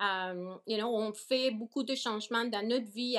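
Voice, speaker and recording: Fairly slow in pace, this woman's speech shows ordinary pitch variation. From Nicaragua, moved to Toronto around age 14. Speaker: organic farm owner. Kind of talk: interview. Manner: hesitant, frequent fillers and repetitions; code-switching into English.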